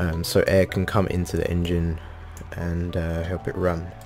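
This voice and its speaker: Over music in the background, a man talks with a very deep, low pitch. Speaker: video game tutorial creator. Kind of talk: casual game tutorial talk. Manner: hesitant, many fillers.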